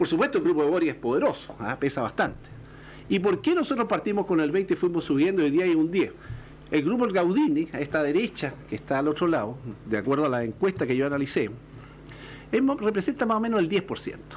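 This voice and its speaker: A man's high-pitched voice, very wide pitch swings, and a very fast pace. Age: 60s. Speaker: political panelist. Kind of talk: political panel discussion. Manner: halting.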